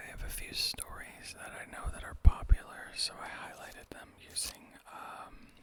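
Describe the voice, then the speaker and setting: A whispering voice moves at a moderate pace. Background noise is noticeable throughout. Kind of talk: casual talk to camera. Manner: soft-spoken.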